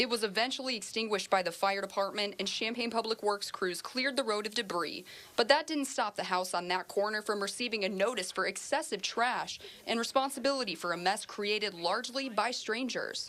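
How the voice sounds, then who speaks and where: Speech with an American accent comes at a fairly quick pace with ordinary pitch variation. The tone is bright and sharp. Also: woman, fairly high pitch for a woman. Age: 20s. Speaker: TV news reporter. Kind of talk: TV news field report.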